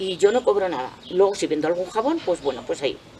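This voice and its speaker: A woman talks in a medium pitch. Noticeable background noise can be heard. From Spain, Cuenca province. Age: 60s. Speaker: retired artisan soap maker. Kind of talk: interview.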